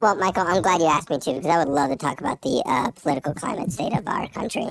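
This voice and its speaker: In a put-on character voice, someone rattles along at a very fast pace with a raspy, middle-pitched sound. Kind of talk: formal, grave, like a political speaker. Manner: very serious, solemn.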